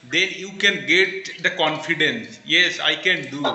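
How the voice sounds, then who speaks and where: A man speaks at a fairly slow pace with fairly even intonation. Noticeable background noise and audible room echo are present. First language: Bengali. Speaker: English learner. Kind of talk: casual conversation practice.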